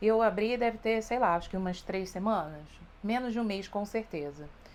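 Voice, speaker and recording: Here is a woman with a Rio de Janeiro accent. Her pitch sits fairly high. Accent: carioca. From Brazil, Rio de Janeiro. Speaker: beauty youtuber. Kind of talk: makeup tutorial. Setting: home, hot room. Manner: casual, chatty. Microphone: wireless lavalier mic beside her, close.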